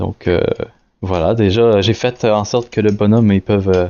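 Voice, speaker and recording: A fairly low-pitched man with a Quebec accent, speaking at a fairly slow pace. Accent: Québécois French accent, noticeable. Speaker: indie game developer. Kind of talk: devlog screen-recorded tutorial. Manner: hesitant, many fillers and restarts; casual.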